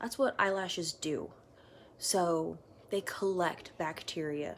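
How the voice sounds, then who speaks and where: Here a woman speaks at a very slow pace. Her pitch is fairly low and varies in an ordinary way. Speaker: makeup artist. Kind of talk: casual tutorial vlog. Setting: at home, sitting on the floor.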